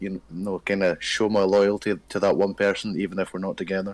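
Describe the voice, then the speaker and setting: Speaking at a fairly quick pace, a man with a Scottish accent has a fairly low voice, captured on a very clean recording with a silent background. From Scotland. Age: 20s. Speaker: dating show guest. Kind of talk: casual chat.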